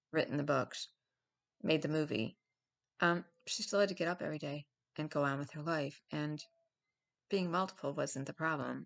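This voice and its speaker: At a moderate pace, a woman with a very deep, low pitch and ordinary pitch variation speaks with long, frequent pauses. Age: 60s. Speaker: vlogger sharing lived experience of mental health. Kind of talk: casual monologue. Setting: home video recorded before dawn. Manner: hesitant, with many fillers.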